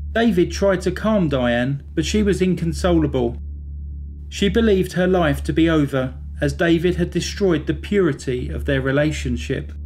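A man's moderate-paced speech is accompanied by noticeable background noise. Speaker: true crime narrator. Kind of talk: scripted true-crime narration, measured and serious. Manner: even, measured, sombre storytelling pace; formal, clear, factual delivery.

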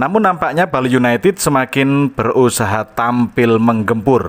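This man has an ordinary speaking voice with ordinary pitch variation. He talks at a fairly slow pace. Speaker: radio announcer. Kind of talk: radio-style football match report, sports commentary. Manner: formal, polished broadcast tone.

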